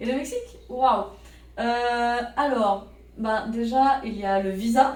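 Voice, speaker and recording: At a very slow pace and with fairly even intonation, the voice comes through audible room echo. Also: woman, high pitch for a woman. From Paris suburbs, France. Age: 30s. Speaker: French teaching assistant. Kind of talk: interview.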